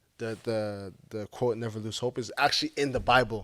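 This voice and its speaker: On a very clean recording with a silent background, a man with an African accent talks at a moderate pace, his medium pitch held in fairly even intonation. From Montreal, Canada (born in Zimbabwe). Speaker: football player and entrepreneur. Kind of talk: talk show interview.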